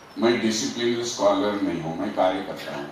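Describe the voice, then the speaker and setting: Noticeable background noise and audible room echo accompany a man speaking with ordinary pitch variation. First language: Marathi (speaking Hindi). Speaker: activist. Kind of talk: speech to an audience.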